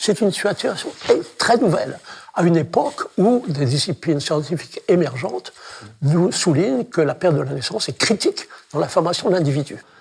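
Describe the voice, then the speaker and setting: A man's high voice, fairly quick and lively in intonation, with noticeable background noise. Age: 80s+. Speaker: childbirth researcher. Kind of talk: talk to an audience. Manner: halting.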